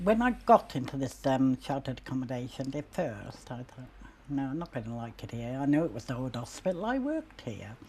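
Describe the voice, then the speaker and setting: Her very deep, low pitch carries ordinary pitch variation, and this woman's loudness swings widely. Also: fairly quick pace. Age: 70s. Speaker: sheltered housing resident. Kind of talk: interview reminiscence.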